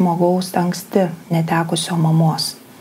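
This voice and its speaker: A woman speaks with a Lithuanian accent. Her pace is moderate. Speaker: psychologist-psychotherapist presenter; presenter. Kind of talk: lecture. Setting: online live broadcast. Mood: calm, thoughtful. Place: home room.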